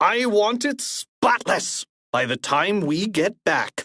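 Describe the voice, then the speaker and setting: Recorded dry and close with no echo, a man puts on a character voice, high in pitch and very slow, with very wide pitch swings. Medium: read story. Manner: angry, sneering.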